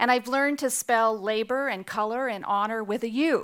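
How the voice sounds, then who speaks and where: An ordinary speaking voice, a woman with a Canadian accent talks at a moderate pace and fairly high pitch. Her pitch variation is ordinary, and the recording is very clean with a silent background. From Canada. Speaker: nonprofit CEO. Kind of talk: keynote speech.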